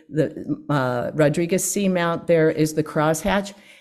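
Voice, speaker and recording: A woman's fairly low, dark, mellow voice at a fairly slow pace with ordinary pitch variation. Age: old. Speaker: marine conservation advocate. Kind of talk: talk to a church congregation. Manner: halting.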